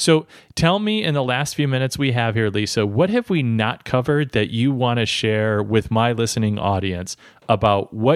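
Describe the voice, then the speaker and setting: On a very clean recording with a silent background, a man talks in a plain, everyday voice at medium pitch, with ordinary pitch variation and a moderate pace. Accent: American. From US Midwest. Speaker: podcast host. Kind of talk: interview.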